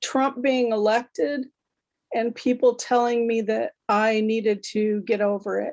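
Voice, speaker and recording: In an ordinary speaking voice, the speaker goes at a fairly slow pace with fairly even intonation. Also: woman, fairly high pitch for a woman. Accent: American. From Nebraska, US Midwest. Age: 60s. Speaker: poet and English teacher. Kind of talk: poetry reading.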